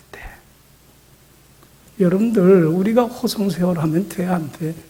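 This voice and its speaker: A man speaks at a high pitch with ordinary pitch variation. Audible room echo surrounds his voice. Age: 70s. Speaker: pastor. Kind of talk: sermon. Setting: church. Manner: animated.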